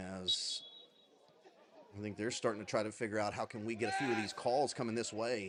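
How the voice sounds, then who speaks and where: A man is speaking. His tone is animated. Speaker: football commentator. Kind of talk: live commentary. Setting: livestream.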